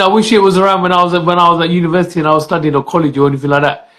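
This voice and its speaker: A man speaks at a very fast pace with a Punjabi accent. His pitch is high, with ordinary variation. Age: 40s. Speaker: podcast host. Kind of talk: casual chat.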